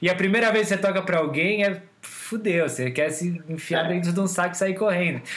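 Noticeable background noise accompanies a man talking at a fairly quick pace with ordinary pitch variation. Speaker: podcast host and songwriter. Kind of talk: casual chat.

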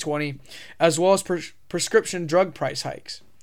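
In an American accent, the speaker talks at a fairly quick pace with ordinary pitch variation, on a very clean recording with a silent background. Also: man. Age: 20s. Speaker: podcast host. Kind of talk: solo monologue podcast, casual commentary. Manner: casual, filler-heavy, halting.

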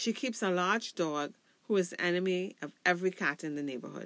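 A woman with a normal speaking voice and a fairly low pitch, at a moderate pace, on a very clean recording with a silent background. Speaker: podcast host and storyteller. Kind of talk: ghost story telling, read aloud in a hushed, suspenseful narrator's voice; scripted reading of a folklore story. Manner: warm, friendly, slightly apologetic with fillers.

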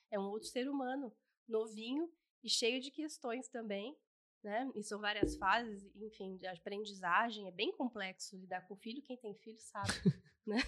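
At a moderate pace, a plain, everyday voice shows ordinary pitch variation and big swings in loudness. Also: woman, fairly high pitch for a woman. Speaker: podcast co-host and family constellation coach. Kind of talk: casual chat.

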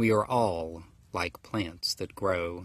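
A man with an American accent speaks very slowly. His pitch varies in an ordinary way over a quiet background. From US South, rural Georgia. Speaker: pastor. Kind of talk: sermon.

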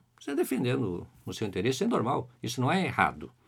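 A man talks with vocal fry and lively intonation. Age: 50s. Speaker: biology professor. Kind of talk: interview. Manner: halting.

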